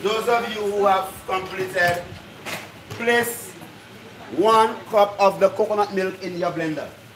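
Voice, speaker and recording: A man's high-pitched voice at a fairly slow pace, with fairly even intonation, over noticeable background noise. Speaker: cooking class instructor. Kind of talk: instruction to a group. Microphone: phone near.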